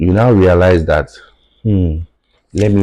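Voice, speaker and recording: Speaking in a Nigerian accent, a man with a dark, mellow tone keeps his intonation fairly even. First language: Yoruba. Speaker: tech founder. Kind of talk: podcast interview.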